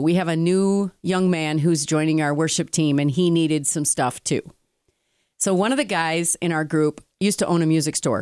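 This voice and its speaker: A woman's animated voice, fairly low in pitch, at a moderate pace with very even loudness, on a very clean recording with a silent background. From Italian-American heritage. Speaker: podcast co-host. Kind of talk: casual chat. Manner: animated, talks with hands.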